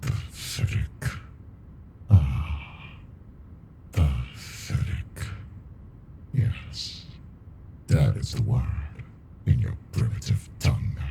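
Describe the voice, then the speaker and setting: A man puts on a character voice with a very deep, low pitch. He speaks at a very slow pace with long, frequent pauses over clear background noise. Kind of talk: ASMR roleplay. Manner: dominant, flirty.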